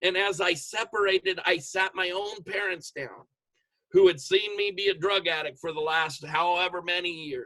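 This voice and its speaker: A man speaks loudly at a high pitch and a moderate pace, his tone bright and sharp. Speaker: motivational speaker, network marketer. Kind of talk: motivational talk on video call. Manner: animated.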